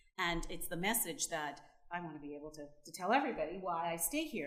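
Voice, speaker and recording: A woman's animated voice with a Canadian accent, at a fairly quick pace with audible room echo. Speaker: panelist on rural development. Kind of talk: panel discussion.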